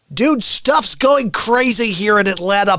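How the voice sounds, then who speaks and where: Someone performs a put-on character voice with a fairly high pitch and a dramatic tone. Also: moderate pace. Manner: dramatic news-reporting delivery.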